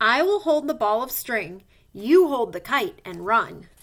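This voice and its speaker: Taking a fairly slow pace, a woman puts on a character voice that is high in pitch with very wide pitch swings. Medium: read story.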